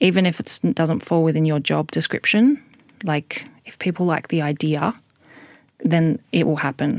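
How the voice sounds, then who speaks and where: Speaking at a moderate pace in an Australian accent, a woman uses lively intonation at a fairly low pitch, with a dry, close sound and no echo. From Western Australia (Albany). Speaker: radio documentary producer. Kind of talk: interview.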